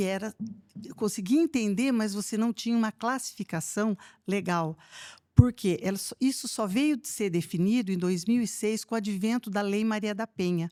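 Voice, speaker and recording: The recording is very clean, with a silent background and a dry, close sound with no echo. A woman speaks at a moderate pace and medium pitch, her tone dark and mellow, with ordinary pitch variation. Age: 60s. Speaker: retired police chief. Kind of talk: podcast interview. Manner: hesitant, many fillers.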